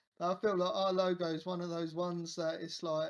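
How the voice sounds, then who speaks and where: The speech moves at a moderate pace in a southern English accent. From England, Kent. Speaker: crypto project team member. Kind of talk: casual interview. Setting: video call. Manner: halting.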